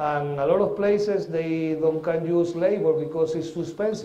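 In a Spanish accent, the voice has a dark, mellow tone and fairly even intonation, with audible room echo. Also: man. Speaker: coffee agronomist and farmer; conference presenter. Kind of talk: lecture. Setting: stage with audience. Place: hall.

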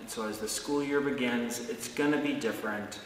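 Audible room echo and light background noise surround a man as he speaks. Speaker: pastor. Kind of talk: blessing and fervent prayer, pastoral address. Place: church.

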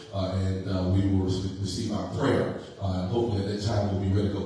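Light background noise and strong room echo surround a man speaking in a fairly low pitch. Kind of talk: service announcements turning to preaching. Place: church.

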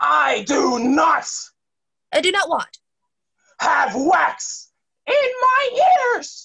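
Shouting in a put-on character voice at an extremely high pitch, the speaker goes at a very slow pace with long, frequent pauses. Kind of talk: children's theater. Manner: shouty, boastful.

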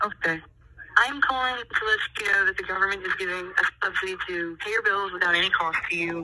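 A woman's bright, sharp voice at medium pitch, fairly quick in pace, with fairly even intonation

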